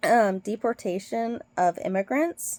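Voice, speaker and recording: Recorded dry and close with no echo, a woman with an American accent has a fairly high pitch and a dark, mellow tone. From Britain. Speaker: nurse. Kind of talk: casual vlog commentary. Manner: hesitant, many fillers.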